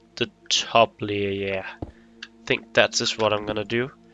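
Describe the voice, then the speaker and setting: The speaker talks at a fairly slow pace with music playing in the background. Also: man. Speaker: gaming youtuber. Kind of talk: gameplay commentary. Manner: halting.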